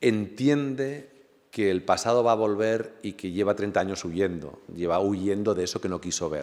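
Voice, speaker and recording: Speaking at a moderate pace with ordinary pitch variation, a man with a fairly low voice is recorded very cleanly against a silent background. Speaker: novelist. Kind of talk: book presentation talk. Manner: halting with fillers.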